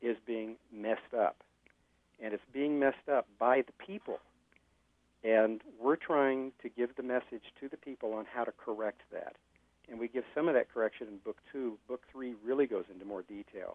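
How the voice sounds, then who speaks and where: A man with a plain, everyday voice talks at a moderate pace and medium pitch, with ordinary pitch variation and big swings in loudness. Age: 60s. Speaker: author, former pastor. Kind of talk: interview.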